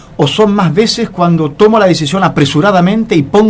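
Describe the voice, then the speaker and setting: A man rattles along very fast, with noticeable noise in the background. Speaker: radio show host, leadership consultant. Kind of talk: radio interview, conversational.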